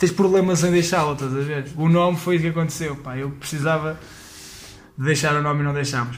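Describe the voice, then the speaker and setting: A man's fairly high, somewhat breathy voice at a very fast pace, with audible room echo. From Portugal, Leiria. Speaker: stand-up comedian. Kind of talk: casual chat. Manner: halting.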